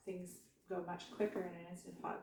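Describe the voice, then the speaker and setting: A soft-spoken woman with a fairly low pitch, moderate pace and audible room echo. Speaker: home cooking vlogger. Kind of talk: cooking tutorial. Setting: home kitchen. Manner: hesitant, many fillers.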